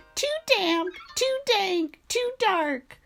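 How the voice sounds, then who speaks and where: A squeaky, put-on character voice from a woman, with music in the background. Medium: read story.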